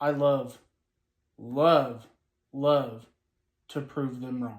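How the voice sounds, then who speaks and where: With audible room echo, someone with an American accent speaks very slowly in a monotone, flat intonation. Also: man, medium pitch for a man. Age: 30s. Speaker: vlogger. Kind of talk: casual vlog chat.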